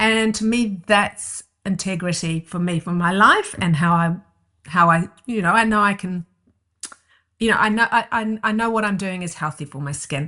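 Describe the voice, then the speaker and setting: A woman with a New Zealand accent, bright, sharp tone, medium pitch, ordinary pitch variation and moderate pace, against a quiet background. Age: 60s. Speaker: herbalist and skincare founder. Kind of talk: interview conversation.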